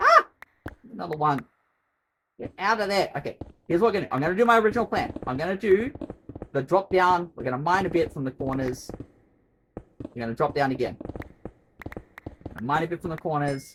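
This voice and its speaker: Someone speaks at a fairly quick pace with an Australian accent, leaving long, frequent pauses. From Australia, Queensland. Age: 30s. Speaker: streamer. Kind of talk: live gaming stream chat. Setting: bedroom home stream. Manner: rambling, chatty.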